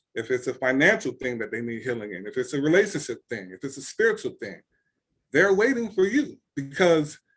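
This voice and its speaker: A man's fairly high voice, fairly quick, with very wide pitch swings, big swings in loudness and vocal fry. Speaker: author coach. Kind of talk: webinar talk. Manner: fast.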